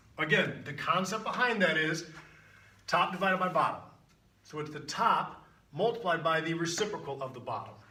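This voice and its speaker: Amid noticeable background noise and audible room echo, a man with a high pitch speaks in an animated tone, leaving long, frequent pauses. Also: ordinary pitch variation, fairly quick pace. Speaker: math teacher. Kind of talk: tutorial. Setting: video recording with on-camera guest. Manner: fast.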